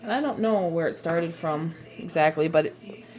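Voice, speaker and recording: A woman speaks at a moderate pace with a Minnesotan accent and ordinary pitch variation, with music playing in the background. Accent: Minnesota. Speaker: home cooking video creator. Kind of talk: cooking tutorial. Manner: casual, halting with fillers.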